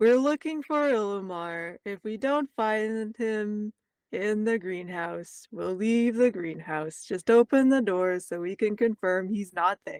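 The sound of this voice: Someone uses a put-on character voice with a fairly high pitch at a fairly slow pace. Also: hardly any pauses.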